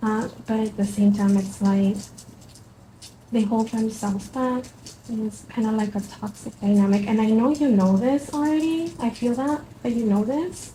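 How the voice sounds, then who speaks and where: A woman with a Spanish accent has a fairly high voice that is dark, mellow and somewhat breathy. Her pitch varies in an ordinary way. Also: moderate pace. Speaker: tarot reader. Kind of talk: tarot reading. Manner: halting, many fillers.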